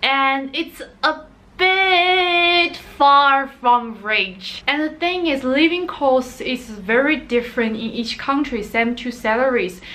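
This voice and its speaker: A woman with a Chinese accent speaks at a very slow pace in a high pitch. Her voice is raised and projected, with lively intonation. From Sichuan, China. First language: Mandarin Chinese. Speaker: vlogger. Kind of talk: casual talk to camera. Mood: playful, expressive. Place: home room.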